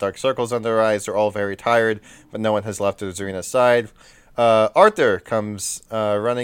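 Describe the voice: With fairly even intonation, the words come out as plain reading aloud.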